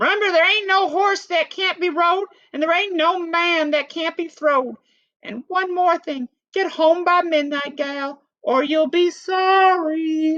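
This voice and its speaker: A put-on character voice squeaks along at an extremely high pitch. Its delivery is fairly slow. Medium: read story. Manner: brisk, bossy, folksy.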